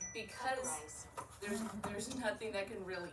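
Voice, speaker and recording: Audible room echo and noticeable background noise surround speech with ordinary pitch variation. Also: woman. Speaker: artist-in-residence giving a talk. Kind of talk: public presentation. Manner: hesitant, many fillers.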